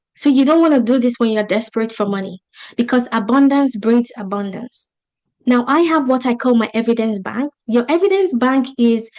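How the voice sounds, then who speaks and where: Speaking at a fairly quick pace with an African accent, a woman talks in a high voice with ordinary pitch variation. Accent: African accent, noticeable. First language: not English. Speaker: business coach. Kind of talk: online masterclass presentation. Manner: animated.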